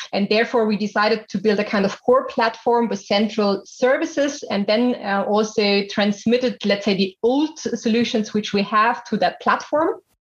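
This woman has an ordinary speaking voice with a fairly high pitch, ordinary pitch variation, a moderate pace, and hardly any pauses. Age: 30s. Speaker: business executive. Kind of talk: interview.

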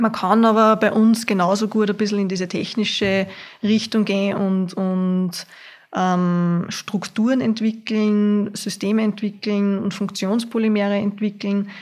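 A woman of medium pitch at a fairly slow pace, monotone and flat, on a very clean recording with a silent background. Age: 20s. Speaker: university student. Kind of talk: casual interview.

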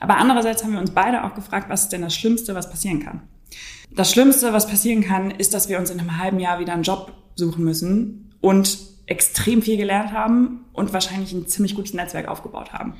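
A woman with a plain, everyday voice speaks at a medium pitch. Her pace is fairly quick and her intonation fairly even. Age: 20s. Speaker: startup founder. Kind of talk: interview.

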